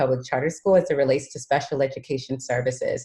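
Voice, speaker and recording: A somewhat breathy woman's voice with a dark, mellow tone at a fairly quick pace. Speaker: special education supervisor. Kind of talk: board meeting presentation. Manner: frequent filler words.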